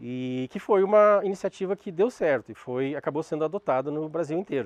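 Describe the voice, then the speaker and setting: A man at a fairly high pitch and fairly quick pace, in a dry, close sound with no echo and a quiet background. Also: lively intonation. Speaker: lecturer on restorative justice. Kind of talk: lecture. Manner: halting.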